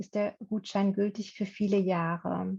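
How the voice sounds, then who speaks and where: This woman's voice has a dark, mellow tone and a medium pitch. It sounds somewhat breathy, with fairly even intonation. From Berlin, Germany. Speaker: workshop presenter, former German teacher. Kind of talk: online workshop presentation.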